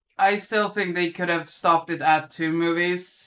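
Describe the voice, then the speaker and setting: The speaker is a woman with a fairly low pitch. Her intonation is monotone and flat. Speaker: horror movie podcast panelist. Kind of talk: casual chat.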